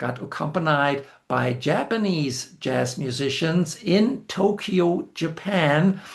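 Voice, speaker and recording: Over a quiet background, a man talks very slowly in a high pitch with ordinary pitch variation. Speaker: music video essayist. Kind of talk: scripted narration. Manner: formal.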